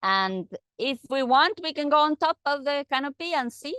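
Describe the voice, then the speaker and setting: A speaker with a non-native accent talks at a moderate pace with lively intonation. The sound is dry with no echo, over a quiet background. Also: woman. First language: not English. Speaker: guide on a forest walk; field site guide. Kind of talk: guided tour. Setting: outdoors. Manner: halting. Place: forest. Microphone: phone near.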